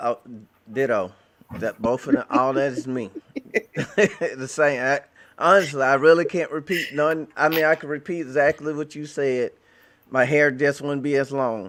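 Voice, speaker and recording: Against a silent background in a very clean recording, a man with a fairly high pitch talks at a moderate pace with ordinary pitch variation and long, frequent pauses. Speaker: Bible teacher. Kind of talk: casual discussion. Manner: halting.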